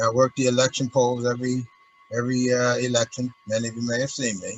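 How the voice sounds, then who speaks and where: A man's medium-pitched, monotone voice, flat in intonation, at a very fast pace over noticeable background noise. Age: 70s. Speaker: resident giving public comment. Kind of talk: public comment at council meeting. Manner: halting.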